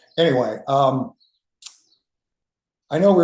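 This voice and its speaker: At a moderate pace, a man with a medium pitch talks with lively intonation and a somewhat breathy sound. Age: 60s. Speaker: community member sharing in group session. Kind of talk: personal sharing in online group. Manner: halting, many restarts.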